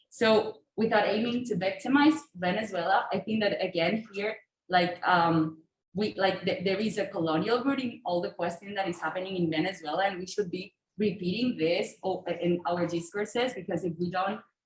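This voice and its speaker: Pitch variation is ordinary as a woman speaks at a moderate pace. Her voice sits at medium pitch. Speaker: audience participant. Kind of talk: audience intervention. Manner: halting.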